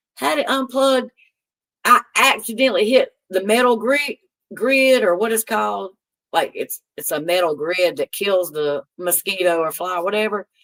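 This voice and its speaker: The sound is dry and close with no echo as a woman speaks at a medium pitch and moderate pace in an animated tone. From North Carolina. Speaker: live streamer. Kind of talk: casual chat. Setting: live stream reading chat.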